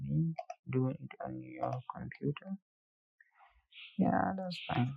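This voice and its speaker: The speaker has a non-native accent and a fairly slow pace. Pauses are long and frequent. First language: not English. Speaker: software tutorial instructor. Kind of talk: tutorial. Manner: casual.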